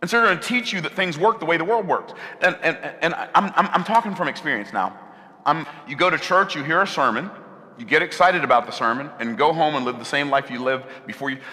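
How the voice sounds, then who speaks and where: Talking at a very fast pace, a man with a fairly high pitch uses lively intonation over noticeable background noise. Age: 60s. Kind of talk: sermon.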